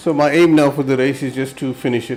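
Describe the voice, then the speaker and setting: A man speaks at a fairly quick pace with medium pitch and fairly even intonation over noticeable background noise. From South Africa. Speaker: sim racing streamer. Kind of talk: live gameplay commentary.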